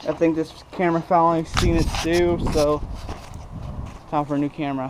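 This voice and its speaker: Over noticeable background noise, a man speaks in a fairly high, monotone voice with flat intonation. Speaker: metalworking hobbyist. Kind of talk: workshop tutorial. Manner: fast; halting, many fillers.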